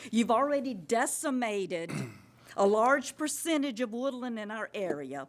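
With a coastal Georgia accent, a woman speaks in a high pitch at a fairly slow pace. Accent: Southern US (coastal Georgia). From US South. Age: 70s. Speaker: resident speaking at public comment. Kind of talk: public comment at county meeting. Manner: impassioned.

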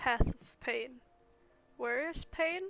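Music behind a woman's very slow delivery. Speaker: gaming youtuber. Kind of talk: let's play commentary. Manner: casual, rambling. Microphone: mic distortion from handling.

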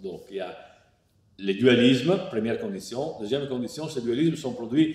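The voice carries an Italian accent and lively intonation, with audible echo from the room. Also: man. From Italy. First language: Italian (speaking French). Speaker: philosopher; philosopher lecturer. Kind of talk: lecture partly read from a text. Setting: online lecture. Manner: hesitant, many fillers (euh, hein). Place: home room.

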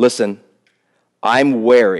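A man with an American accent at a very slow pace, against a quiet background. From US South. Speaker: pastor. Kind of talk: sermon. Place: church. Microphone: headset.

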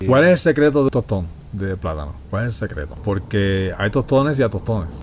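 The voice swings very widely in pitch at a fairly quick pace, with noticeable background noise. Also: man, fairly low pitch for a man. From Puerto Rico, Ponce. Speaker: podcast host. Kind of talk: casual chat.

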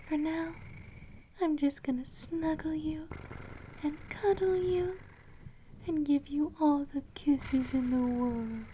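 Speaking very slowly and softly, with long pauses coming often, this voice sits over light background noise. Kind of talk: intimate roleplay monologue. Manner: soft, intimate ASMR murmur.

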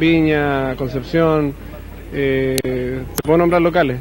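Over light background noise, a man speaks very slowly with fairly even intonation in a dry sound with no echo. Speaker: rock musician. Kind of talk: TV interview. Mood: relaxed, smiling. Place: cafe. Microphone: handheld.

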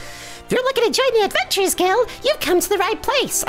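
A squeaky, put-on character voice at an extremely high pitch moves at a fairly quick pace over clear background music. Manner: friendly, welcoming.

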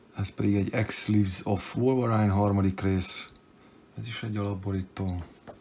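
Over noticeable background noise, a man with a fairly low voice speaks at a moderate pace in a flat, monotone way. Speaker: comic book collector youtuber. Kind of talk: unboxing show-and-tell. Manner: casual, hesitant with fillers; brisk.

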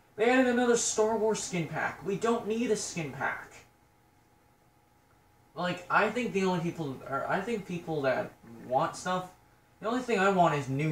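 A man speaks at a moderate pace, with light background noise and audible room echo. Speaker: gamer. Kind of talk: casual gameplay commentary. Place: home room. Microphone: phone near.

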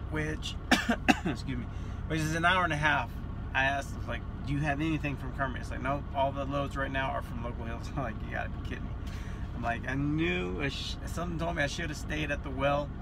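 A man talks at a fairly quick pace while noticeable background noise runs underneath. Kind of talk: casual vlog chat. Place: car. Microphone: phone near.

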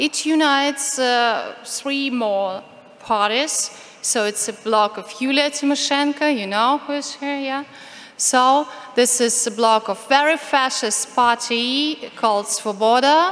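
Speaking at a very slow pace, a woman with a high pitch and a Ukrainian accent shows ordinary pitch variation. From Ukraine. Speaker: activist speaker on LGBT rights. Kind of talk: conference talk. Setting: conference stage with audience, interpreter. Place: hall. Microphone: podium.

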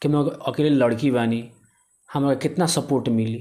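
A man talks at a fairly slow pace with ordinary pitch variation and a dark, mellow tone. The background is quiet. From Bihar, India. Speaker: local news reporter. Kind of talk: interview. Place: home room. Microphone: handheld.

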